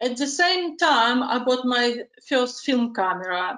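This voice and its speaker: A woman's high-pitched voice at a fairly slow pace, with audible room echo against a quiet background. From Ukraine. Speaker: dog photographer. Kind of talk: interview, partly prepared self-promotion. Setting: video call. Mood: calm, friendly. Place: home room. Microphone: video call.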